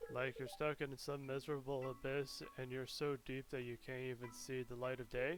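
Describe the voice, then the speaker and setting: Music plays in the background as the speaker moves at a moderate pace with hardly any pauses and ordinary pitch variation. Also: man, medium pitch for a man. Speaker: gaming youtuber. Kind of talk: let's play commentary. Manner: halting.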